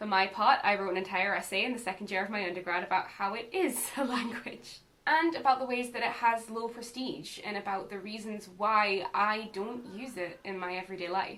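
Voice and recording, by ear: A woman in a north-east English accent, medium pitch, fairly bright tone, fairly even intonation and a fairly quick pace, with audible room echo. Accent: mild Northumbrian, north-east English.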